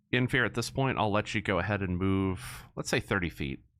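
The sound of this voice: The pitch moves in ordinary ways through this unforced reading of the text.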